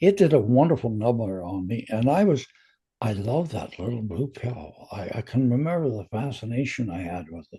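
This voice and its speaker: At a moderate pace, a man's dark, mellow, somewhat breathy voice swings very widely in pitch and heavily in loudness. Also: medium pitch for a man. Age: 80s+. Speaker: retired radio and television personality. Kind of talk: casual interview chat. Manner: halting, many fillers and repeats.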